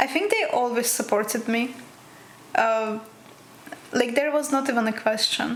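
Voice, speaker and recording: There is noticeable background noise as a woman speaks at a high pitch in a Russian accent. Her loudness stays very even, broken by long, frequent pauses. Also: ordinary pitch variation, moderate pace. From Russia, Krasnoyarsk. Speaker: physics PhD student. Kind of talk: interview.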